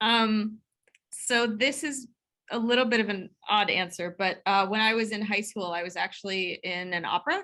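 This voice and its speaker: The voice is a woman's, and it is loud. Bright and sharp describes her tone. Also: fairly high pitch for a woman, ordinary pitch variation, moderate pace. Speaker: computational biochemistry professor. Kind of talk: interview.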